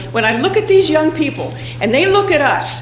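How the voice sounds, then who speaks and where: Noticeable background noise sits behind the speech. The delivery moves fairly quickly. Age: old. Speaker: senior resident advocate. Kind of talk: public comment at council meeting. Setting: city council meeting.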